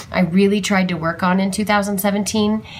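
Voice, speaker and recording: Noticeable background noise runs under speech at a moderate pace with fairly even intonation. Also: woman. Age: 30s. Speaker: art journaling vlogger. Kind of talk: casual chat. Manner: hesitant, many fillers.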